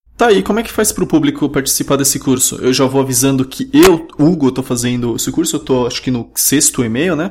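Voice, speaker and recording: A man with a fairly high pitch and a somewhat breathy voice talks very fast, with hardly any pauses and ordinary pitch variation. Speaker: podcast host. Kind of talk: interview. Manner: casual.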